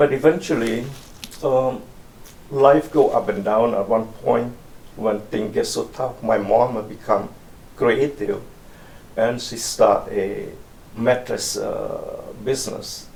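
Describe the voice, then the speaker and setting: Long, frequent pauses break up very slow speech, with audible echo from the room. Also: man. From Cambodia, western rural town near Thai border. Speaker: oral history interviewee. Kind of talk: oral history interview. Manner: halting.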